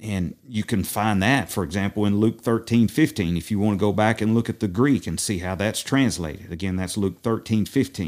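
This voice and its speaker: Fairly quick speech from a man with an East Tennessee accent, fairly low in pitch, with ordinary pitch variation, hardly any pauses and a very clean recording against a silent background. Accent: East Tennessee Southern. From US South, East Tennessee. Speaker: messianic rabbi. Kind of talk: bible study discussion.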